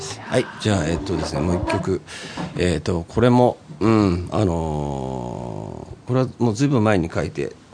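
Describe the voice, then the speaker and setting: At a moderate pace, a man speaks in a very deep, low pitch with very wide pitch swings over noticeable background noise. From Nagoya, Japan. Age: 50s. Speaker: singer-songwriter, former street musician. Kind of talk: casual chat.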